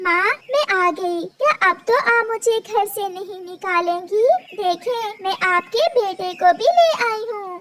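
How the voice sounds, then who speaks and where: This is a cartoonish character voice. It goes at a fairly slow pace. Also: woman, extremely high pitch for a woman. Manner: soft, gentle.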